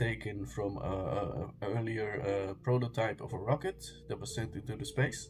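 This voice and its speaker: Somewhat breathy, a man speaks with a slight Danish accent. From Denmark. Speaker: conspiracy video creator. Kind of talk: casual monologue to camera. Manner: halting, many fillers and restarts.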